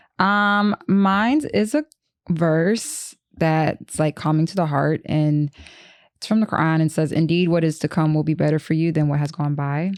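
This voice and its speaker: Over a silent background in a very clean recording, a woman talks at a moderate pace in a very deep, low pitch with ordinary pitch variation. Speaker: podcast co-host. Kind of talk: casual chat.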